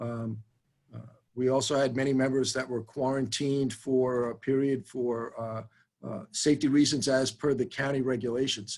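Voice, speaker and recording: With a New York accent, a man speaks at a moderate pace and medium pitch in monotone, flat intonation. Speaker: fire chief. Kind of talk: budget hearing Q&A. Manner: halting, many fillers.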